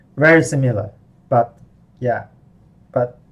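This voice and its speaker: Slightly breathy male speech with rather flat intonation. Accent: Chinese. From Chinese-speaking background. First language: Mandarin Chinese. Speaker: language teacher. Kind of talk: online lesson. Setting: live online class. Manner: halting.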